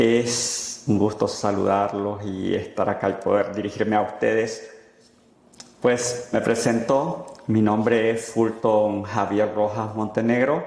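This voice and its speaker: A man's fairly low voice at a very slow pace, with fairly even intonation, very even loudness and audible room echo. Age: 30s. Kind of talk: interview testimony.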